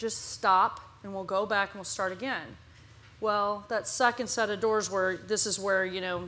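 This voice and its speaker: A woman speaks in a bright, sharp tone with fairly even intonation. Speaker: business founder on panel. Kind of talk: panel discussion. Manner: loud talker; speaking softly on purpose.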